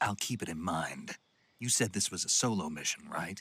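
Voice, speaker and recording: A man speaks at a moderate pace in a put-on character voice. His pitch sits fairly low and varies in an ordinary way. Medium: video game. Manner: terse, dry.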